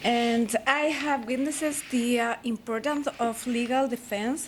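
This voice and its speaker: This woman's fairly high voice, with a Spanish accent, keeps a fairly even intonation. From Chile. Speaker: law student, foreign attorney. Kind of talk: prepared presentation. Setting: ceremony with audience.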